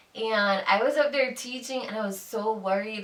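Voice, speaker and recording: The pitch shifts in an ordinary manner. Behind the voice, background noise is noticeable. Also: woman. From Jamaica. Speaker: YouTuber, fashion blogger and teacher. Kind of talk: casual chat.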